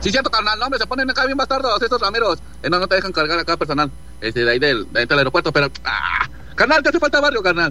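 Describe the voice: A man talking fast at a high pitch, with big pitch swings and few pauses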